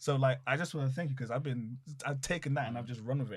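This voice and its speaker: A man talks with a British accent and a somewhat breathy voice. His pitch varies in an ordinary way. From London, England. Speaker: professional wrestler. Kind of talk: casual chat. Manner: animated.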